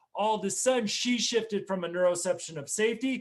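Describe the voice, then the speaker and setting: A man speaks loudly with ordinary pitch variation. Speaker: mental health professional and conference speaker. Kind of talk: conference keynote talk.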